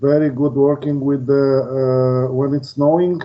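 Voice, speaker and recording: A man speaks at a medium pitch. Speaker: airport pavement engineer. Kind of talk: webinar presentation. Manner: halting, many fillers.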